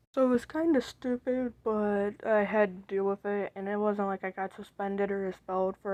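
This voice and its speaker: A quiet woman speaks at a fairly slow pace with a dark, mellow tone and medium pitch. The sound is dry and close with no echo, and her pitch varies in an ordinary way. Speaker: commentary YouTuber. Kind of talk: storytime monologue. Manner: casual, filler-heavy.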